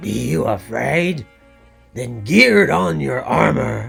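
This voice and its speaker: In a put-on character voice, a man growls at a very slow pace and medium pitch while faint music plays in the background. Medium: read story. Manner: curt, commanding.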